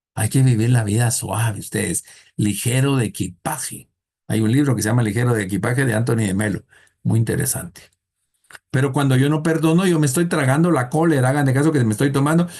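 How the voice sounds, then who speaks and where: This man talks at a fairly quick pace in a medium pitch, somewhat breathy. His loudness stays very even. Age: 60s. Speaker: thanatology teacher. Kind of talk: lecture. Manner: conversational, humorous storytelling.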